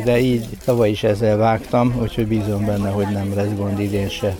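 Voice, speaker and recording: Against noticeable background noise, a man talks in a fairly low pitch with monotone, flat intonation. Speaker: mayor, team leader. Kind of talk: interview. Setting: outdoors at festival.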